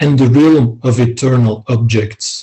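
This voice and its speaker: A man speaks at a fairly slow pace with a non-native accent, his tone dark and mellow. His voice is somewhat breathy and his intonation fairly even. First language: not English. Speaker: philosophy scholar. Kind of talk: academic discussion. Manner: halting, many fillers.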